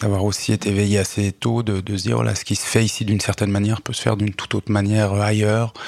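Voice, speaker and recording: Barely pausing, a man rattles along at a very fast pace in a monotone, flat intonation. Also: fairly low pitch for a man. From Switzerland, Lausanne area. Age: 40s. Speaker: poet, social worker and local politician. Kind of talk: radio interview. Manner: hesitant, many fillers and repetitions.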